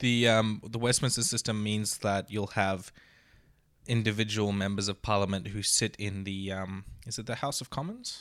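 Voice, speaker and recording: Here a man speaks in an Australian accent at a fairly low pitch and a moderate pace. His intonation is fairly even, on a very clean recording with a silent background. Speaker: podcast co-host, YouTuber. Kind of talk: casual chat. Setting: studio.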